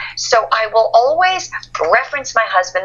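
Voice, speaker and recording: Noticeable background noise runs under a woman with an American accent and a fairly high voice. Her pitch swings very widely. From northern New Jersey. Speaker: author and motivational speaker. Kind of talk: interview.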